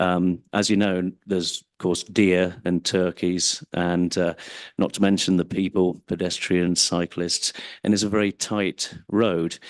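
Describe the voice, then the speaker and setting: Over a quiet background, a man with an English accent talks at a fairly slow pace in a very deep, low pitch and monotone, flat intonation, the sound dry and close with no echo. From England. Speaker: member of the public giving comment. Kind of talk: public comment at council meeting. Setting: city council meeting, microphone at podium.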